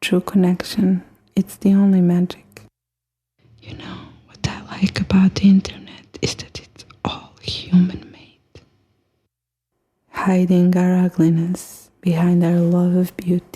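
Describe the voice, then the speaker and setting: The delivery is fairly slow, broken by long, frequent pauses. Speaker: poet. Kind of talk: poetry reading. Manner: whispered, soft-spoken.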